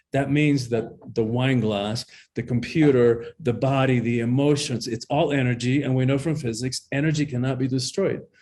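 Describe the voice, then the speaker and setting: A somewhat breathy voice of dark, mellow tone. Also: man. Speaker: empowerment coach and author. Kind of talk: interview. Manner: animated.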